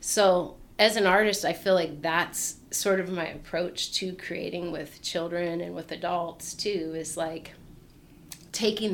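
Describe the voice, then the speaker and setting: A woman with an American accent uses an ordinary speaking voice, fairly low in pitch with ordinary pitch variation, at a fairly slow pace. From US Pacific Northwest (Portland, Oregon). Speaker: artist and creative outreach facilitator. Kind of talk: casual interview.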